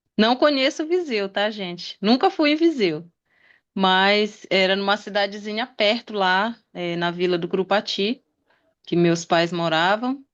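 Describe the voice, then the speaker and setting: Against a quiet background, a woman speaks in an unremarkable speaking voice at medium pitch. Her intonation is lively and her pace fairly slow. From Pará, Brazil (Belém area). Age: 40s. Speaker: interview guest. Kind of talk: interview.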